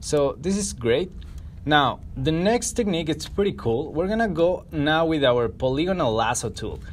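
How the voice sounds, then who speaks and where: With a non-native accent, a man speaks at a moderate pace in a fairly high voice with lively intonation. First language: not English. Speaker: photo editing tutorial creator. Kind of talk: tutorial. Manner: casual, conversational.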